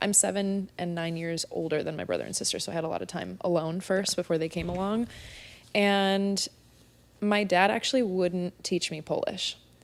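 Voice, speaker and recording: This very clean recording has a silent background. A woman speaks with a Californian accent and fairly even intonation. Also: medium pitch for a woman, moderate pace. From US West Coast, San Diego. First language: Spanish. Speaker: spin instructor, podcast guest. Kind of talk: casual interview chat.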